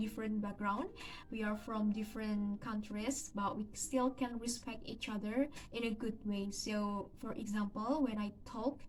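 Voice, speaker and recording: A woman with an Indonesian accent speaks at a fairly slow pace in a fairly high voice, her intonation fairly even, with noticeable background noise behind her. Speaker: university student. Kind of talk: video presentation. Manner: halting.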